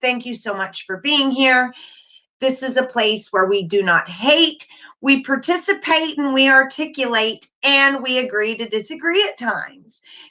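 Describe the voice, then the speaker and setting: A raised, projected voice with a bright, sharp tone speaks in an American accent. The pace is fairly slow, with ordinary pitch variation. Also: woman. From North Carolina. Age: 40s. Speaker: YouTuber. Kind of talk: casual live stream chat. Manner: loud.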